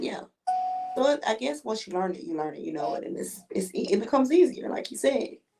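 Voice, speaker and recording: Speaking at a very fast pace with a slight Southern accent, a woman with a fairly high pitch makes very wide pitch swings and big swings in loudness while music plays in the background. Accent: slight southern twang. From US South. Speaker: nurse. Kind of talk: casual chat.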